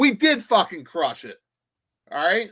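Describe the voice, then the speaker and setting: Against a silent background on a very clean recording, a man raises and projects his voice. His tone is bright and sharp. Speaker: podcast co-host. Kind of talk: casual chat. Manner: stutters.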